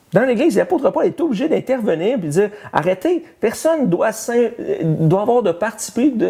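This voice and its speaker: A man with a Quebec accent speaks at a moderate pace with lively intonation, noticeable background noise behind him. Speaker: pastor. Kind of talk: sermon. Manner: halting, many repetitions and fillers.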